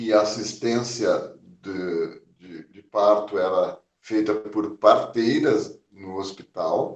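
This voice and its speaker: A man speaks at a very slow pace. His loudness swings widely from moment to moment. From southern Brazil, Porto Alegre. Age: 60s. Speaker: physician. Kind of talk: oral history interview. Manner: hesitant, many fillers.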